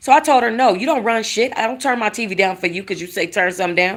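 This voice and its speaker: Her tone is animated. The woman speaks at medium pitch with lively intonation. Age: 40s. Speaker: YouTuber. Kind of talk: storytelling.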